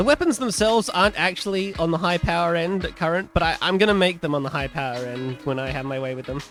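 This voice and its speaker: Over music in the background, a man talks at a very fast pace and high pitch with hardly any pauses. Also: lively intonation. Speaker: modpack developer. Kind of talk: casual gaming devlog talk.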